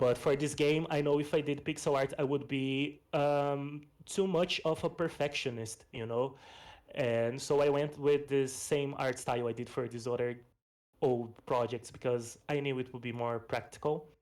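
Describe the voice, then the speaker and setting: Speaking with a Portuguese accent at a moderate pace, a man has a fairly high pitch and fairly even intonation. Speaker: game developer and pixel artist. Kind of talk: presentation of a game project. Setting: online voice stage. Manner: casual, with fillers.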